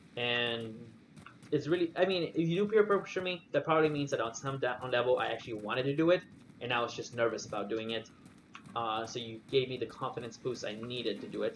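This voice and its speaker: Very fast talk from a man at medium pitch with lively intonation, set against noticeable background noise. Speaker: video game streamer. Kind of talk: gameplay commentary stream. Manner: casual rambling with many fillers.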